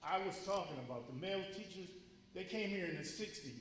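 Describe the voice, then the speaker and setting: Through noticeable background noise and audible room echo, a man speaks at a high pitch. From Connecticut, Waterbury. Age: 60s. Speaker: public commenter at community forum. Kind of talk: public comment at community forum. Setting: school forum, speaking at mic. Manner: emotional, earnest.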